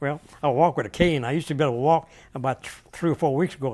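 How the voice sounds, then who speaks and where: Against a quiet background, a man with a Southern Louisiana accent talks at a very fast pace with ordinary pitch variation. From US South (Louisiana). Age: 80s+. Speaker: war veteran. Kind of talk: oral history interview. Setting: hotel in Houston, Texas. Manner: halting.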